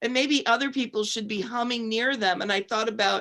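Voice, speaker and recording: An unremarkable speaking voice from a woman at a fairly high pitch, fairly even in intonation, in a very clean recording with a silent background. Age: 60s. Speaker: co-host, former professional singer. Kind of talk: panel discussion.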